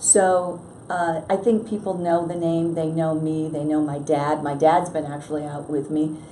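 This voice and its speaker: Fairly even intonation at a moderate pace, with noticeable background noise and audible room echo. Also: woman, very deep, low pitch for a woman. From western New York (Batavia). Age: 60s. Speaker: congressional candidate. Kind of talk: interview. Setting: newspaper office.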